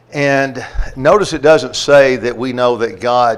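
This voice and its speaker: Speaking very slowly with a strong Southern US accent, a man uses ordinary pitch variation. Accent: thick Southern. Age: 60s. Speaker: preacher. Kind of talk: Bible class lesson.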